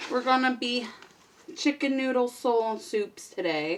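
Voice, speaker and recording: This woman talks at a fairly slow pace over noticeable background noise. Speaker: beauty vlogger. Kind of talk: casual makeup tutorial chat. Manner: casual, chatty.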